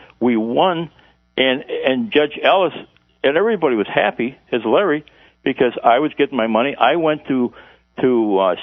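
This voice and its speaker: Very wide pitch swings at a moderate pace, with an American accent. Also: man. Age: 70s. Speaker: former intelligence agent. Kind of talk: radio interview. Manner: halting, stammering.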